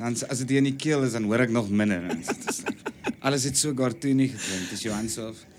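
A man at a medium pitch talks at a fairly quick pace with ordinary pitch variation, with audible room echo and noticeable background noise. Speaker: stage and TV actor. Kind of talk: casual chat. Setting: on a stoep (porch).

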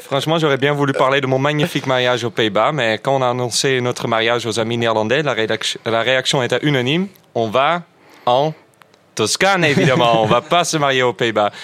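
A man with an unremarkable speaking voice talks at a medium pitch and a fairly quick pace, with ordinary pitch variation and very even loudness. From Netherlands. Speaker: radio panelist. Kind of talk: casual chat.

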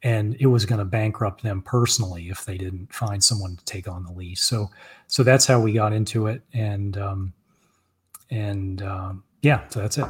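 A man speaks at a fairly low pitch and a moderate pace, his voice somewhat breathy with fairly even intonation. His loudness swings widely on a very clean recording with a silent background. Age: 40s. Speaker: author and car dealership owner. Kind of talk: interview. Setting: live stream.

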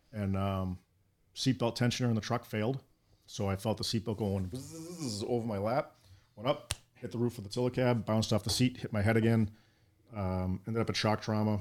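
A man with a Boston accent at a fairly quick pace. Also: medium pitch for a man, ordinary pitch variation. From Boston, Massachusetts. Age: 40s. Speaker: firefighter. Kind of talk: casual interview. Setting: studio.

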